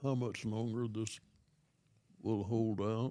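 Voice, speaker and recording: Here is a man with a dark, mellow tone. He speaks at a very slow pace. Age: 80s+. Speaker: grandfather interviewed about life. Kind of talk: casual chat. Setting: live stream. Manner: halting.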